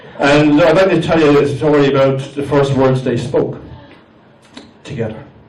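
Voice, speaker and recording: A man with an Irish accent speaks at a fairly high pitch. Noticeable background noise runs underneath. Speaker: amateur stand-up comedian. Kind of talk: live stand-up comedy set. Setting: live comedy venue with audience.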